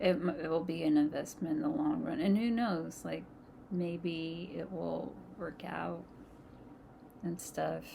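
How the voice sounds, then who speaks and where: A woman at a fairly slow pace, with long, frequent pauses, audible room echo and noticeable background noise. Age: 30s. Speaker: vlogger. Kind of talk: casual storytime monologue. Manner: halting.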